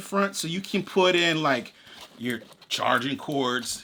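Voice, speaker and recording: Bright and sharp in tone, the man's raised, projected voice carries. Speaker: gear reviewer. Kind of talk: product review. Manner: casual, conversational; halting.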